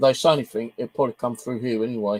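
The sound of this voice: At a fast pace, a man speaks in a medium pitch with a slightly mellow tone.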